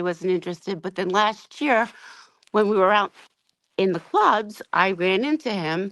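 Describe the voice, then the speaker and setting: A woman with an American accent and a medium pitch speaks fairly quickly on a very clean recording with a silent background and a dry, close sound with no echo. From New Jersey Shore. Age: 60s. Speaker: caller. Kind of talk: casual chat. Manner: halting.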